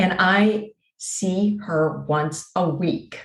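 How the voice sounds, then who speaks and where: Fairly even intonation with audible room echo. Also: woman. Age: 60s. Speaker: abuse survivor and author. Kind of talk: interview.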